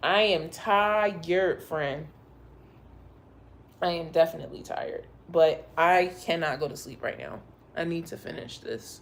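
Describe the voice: A woman's raspy, put-on character voice, fairly low in pitch, at a fairly slow pace with long, frequent pauses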